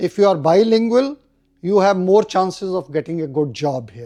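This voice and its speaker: This man has a Punjabi accent and a high pitch. His dark, mellow tone moves through very wide pitch swings. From India. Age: old. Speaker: retired army officer. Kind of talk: interview.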